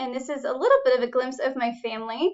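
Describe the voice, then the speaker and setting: Talking at a fairly quick pace, a woman with an American accent has a high pitch. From New York. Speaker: college instructor. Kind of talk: course introduction video. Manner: animated.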